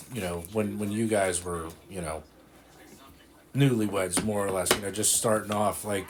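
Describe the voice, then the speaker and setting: A man with a plain, everyday voice and a fairly low pitch speaks at a moderate pace. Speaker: grandchild interviewer. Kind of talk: casual interview questions.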